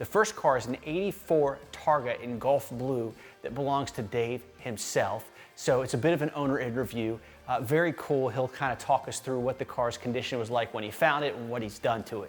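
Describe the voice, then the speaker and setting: Music plays in the background as a man speaks at a moderate pace. His pitch is medium, with ordinary pitch variation. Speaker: car channel host. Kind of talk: upbeat intro to camera.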